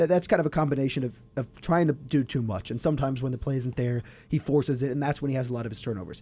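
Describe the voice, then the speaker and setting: A man speaks at a very fast pace with hardly any pauses, his voice medium-pitched with a dark, mellow tone and ordinary pitch variation. The recording is very clean, with a silent background. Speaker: college radio sports show co-host. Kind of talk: casual sports talk show. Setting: studio.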